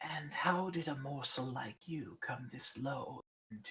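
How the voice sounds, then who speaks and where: A man uses a put-on character voice at a fairly high pitch. He speaks at a fairly slow pace. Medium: actual play. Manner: unhurried, lordly.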